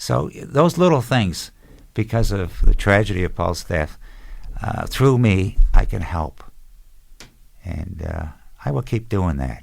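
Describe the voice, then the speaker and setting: Speaking at a very slow pace with long, frequent pauses, a man uses a fairly low pitch with vocal fry and very wide pitch swings. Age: 70s. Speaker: bereaved military parent. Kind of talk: interview storytelling. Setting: podcast.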